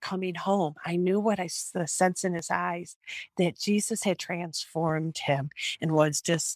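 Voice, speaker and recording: Speaking with a Midwestern American accent, a woman with a fairly low pitch keeps a moderate pace and fairly even intonation in a dry, close sound with no echo. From Michigan, Royal Oak. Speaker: testimony speaker. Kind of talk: testimony. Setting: video call. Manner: halting, many repetitions.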